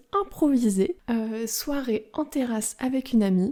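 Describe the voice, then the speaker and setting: On a very clean recording with a silent background, a woman with a high pitch and a dark, mellow tone speaks at a very slow pace with lively intonation. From France. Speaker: French teacher podcaster. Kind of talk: language-learning podcast monologue. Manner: slow, clear.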